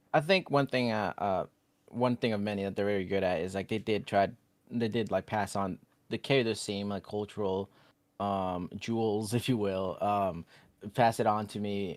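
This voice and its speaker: A man speaks at a moderate pace with fairly even intonation. The sound is dry and close with no echo, on a very clean recording with a silent background. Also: fairly low pitch for a man. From Guatemala until age 7, then US. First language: Spanish. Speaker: podcaster, DACA recipient. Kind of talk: interview.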